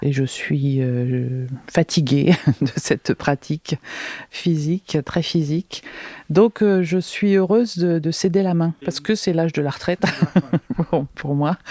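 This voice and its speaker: A woman speaks at a very slow pace, with long and frequent pauses. Her pitch sits fairly low. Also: ordinary pitch variation. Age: 60s. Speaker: beekeeper. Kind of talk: interview. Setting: honey house at her home. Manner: halting.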